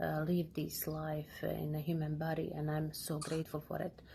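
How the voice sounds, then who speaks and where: A woman with a Bosnian accent speaks at a moderate pace. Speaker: massage therapist. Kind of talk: pre-recorded testimony. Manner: hesitant, many fillers.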